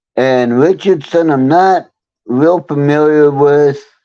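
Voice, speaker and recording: A man with a fairly high pitch and a dark, mellow tone talks at a very slow pace with ordinary pitch variation. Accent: Texan. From Texas (Temple, central Texas). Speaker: live streamer. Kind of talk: casual chat.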